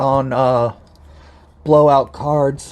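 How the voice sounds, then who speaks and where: Very slow and monotone, with flat intonation, a man speaks at a fairly high pitch amid noticeable background noise. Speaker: trading card unboxing YouTuber. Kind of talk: casual unboxing video.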